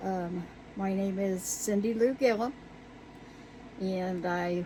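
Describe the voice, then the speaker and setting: At a very slow pace, a woman with an American accent speaks at a medium pitch with fairly even intonation. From Virginia, US South. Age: 60s. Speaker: YouTuber, resin crafter. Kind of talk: casual vlog. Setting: outdoor she shed. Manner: casual, halting with fillers.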